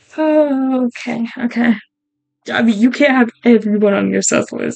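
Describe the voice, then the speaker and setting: Against music in the background, the voice keeps fairly even intonation while its loudness swings widely. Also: woman. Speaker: streamer playing a social deduction game. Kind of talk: casual gaming commentary, talking to self.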